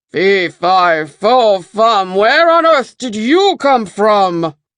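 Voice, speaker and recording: Over a quiet background, a put-on character voice with a fairly high pitch moves at a very slow pace. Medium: read story.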